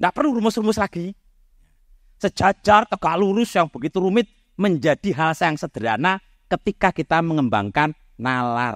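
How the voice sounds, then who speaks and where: A loud, high-pitched man's voice at a moderate pace, with very wide pitch swings, a dry, close sound with no echo, and a very clean recording with a silent background. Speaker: mathematics professor. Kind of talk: public talk.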